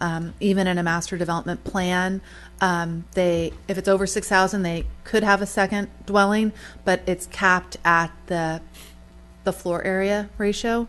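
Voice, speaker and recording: Music plays in the background as a woman talks at a moderate pace. Her intonation is monotone and flat. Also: medium pitch for a woman. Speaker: town planner. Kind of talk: council meeting discussion. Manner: halting.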